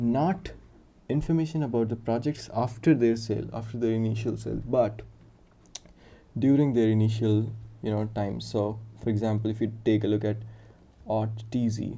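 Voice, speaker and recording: With an Indian accent, a man speaks in a fairly low pitch with a dark, mellow tone, and audible room echo surrounds him. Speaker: software developer streaming live coding. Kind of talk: live coding stream with chat interaction. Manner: casual, thinking aloud with fillers.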